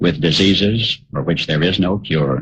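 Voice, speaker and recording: Noticeable background noise accompanies a man speaking. He keeps a moderate pace with ordinary pitch variation. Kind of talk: radio commentary monologue.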